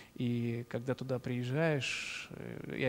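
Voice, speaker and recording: A man with a normal speaking voice talks with ordinary pitch variation. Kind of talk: live interview. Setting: live stream after concert.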